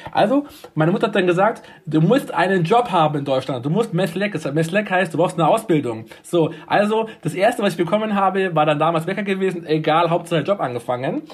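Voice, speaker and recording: A man speaks at a high pitch with lively intonation. His pace is fairly quick. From Munich, Bavaria (Turkish-German family). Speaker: nursing home manager. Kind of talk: interview.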